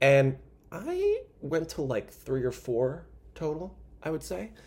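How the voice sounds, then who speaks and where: A man speaks in an animated tone, somewhat breathy. The recording is very clean, with a silent background. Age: 20s. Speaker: comedy podcast host. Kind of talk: casual comedic monologue.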